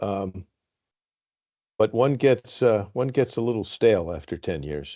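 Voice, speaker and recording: Against a quiet background, a man with a dark, mellow tone and fairly low pitch speaks at a fairly slow pace. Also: lively intonation. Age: 70s. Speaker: board chair. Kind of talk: formal meeting discussion. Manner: halting, many fillers.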